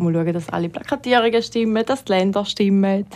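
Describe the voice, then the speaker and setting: This woman has a normal speaking voice at a medium pitch, with ordinary pitch variation. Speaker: retail worker. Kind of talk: casual chat.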